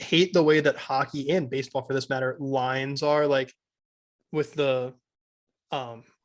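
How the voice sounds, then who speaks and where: With an American accent, a man speaks at a fairly high pitch with fairly even intonation. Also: long, frequent pauses. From Central Pennsylvania. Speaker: sports betting podcast co-host. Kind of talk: casual chat.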